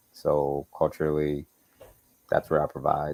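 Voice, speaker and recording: A man's very deep, low voice in a slight Southern US accent, relaxed in tone, at a fairly slow pace, with a dry, close sound and no echo. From Chicago, US. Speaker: architect. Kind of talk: interview. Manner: casual, relaxed.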